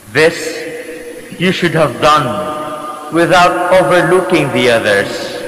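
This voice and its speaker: A man with a fairly high voice speaks at a very slow pace with hardly any pauses and ordinary pitch variation, over noticeable background noise. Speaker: priest. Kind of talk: gospel reading at mass. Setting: church.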